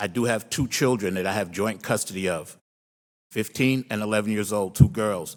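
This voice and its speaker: A man with a plain, everyday voice speaks at a moderate pace and a fairly low pitch. The recording is very clean, with a silent background. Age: 60s. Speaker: public commenter. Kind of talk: public comment testimony. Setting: county board meeting.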